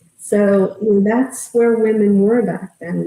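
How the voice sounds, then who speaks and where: A woman's somewhat breathy, medium-pitched voice with a dark, mellow tone. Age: 60s. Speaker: memoir author and survivor advocate. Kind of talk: podcast interview. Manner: halting, with frequent restarts.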